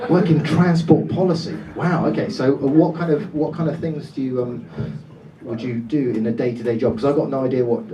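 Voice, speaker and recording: A man speaks with lively intonation amid noticeable background noise and audible room echo. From Dorset, England. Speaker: comedian. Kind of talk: stand-up. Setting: stage with audience. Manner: animated.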